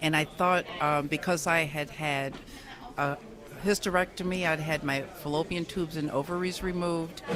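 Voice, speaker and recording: A woman's plain, everyday voice with an American accent, fairly low pitch, fairly even intonation and a moderate pace. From US, various places (army family). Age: 60s. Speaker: cancer survivor, guest. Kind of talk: interview, personal testimony. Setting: radio studio.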